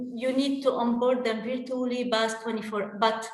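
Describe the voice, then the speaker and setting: The room echo is audible. A woman speaks at a fairly slow pace. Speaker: workplace expert. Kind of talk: panel discussion. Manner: passionate.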